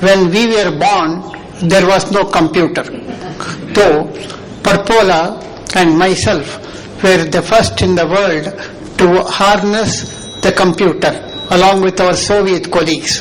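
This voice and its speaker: Speaking very slowly with fairly even intonation, a man with a high pitch is heard over noticeable background noise and audible room echo. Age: 80s+. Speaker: conference session chair, scholar. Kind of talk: closing remarks at academic conference. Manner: formal.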